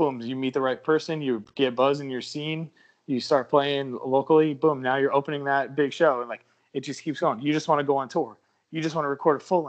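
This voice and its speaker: He speaks at a fairly quick pace, his intonation fairly even. This man has a plain, everyday voice with a fairly high pitch. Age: 30s. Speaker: rock band vocalist and songwriter. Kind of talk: casual interview chat.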